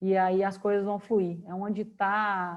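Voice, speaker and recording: A woman speaks at a medium pitch with a Minas Gerais accent. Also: quiet background. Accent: Minas Gerais accent (mineiro). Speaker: career and work speaker. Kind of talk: online talk Q&A.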